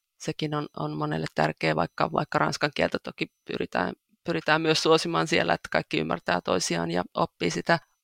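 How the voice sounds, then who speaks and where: A woman at a moderate pace, in a dry, close sound with no echo and a very clean recording against a silent background. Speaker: church volunteer. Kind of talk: interview. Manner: halting, with repeated words.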